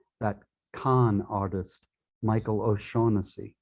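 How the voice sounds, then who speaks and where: A man talks in a New York accent with fairly even intonation. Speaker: poet. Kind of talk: reading aloud.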